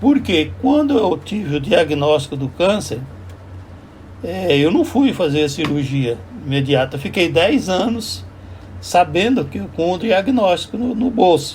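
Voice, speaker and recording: A man's high-pitched voice, very wide swings in pitch, a fairly slow pace. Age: 70s. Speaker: vlogger. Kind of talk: casual monologue. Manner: halting.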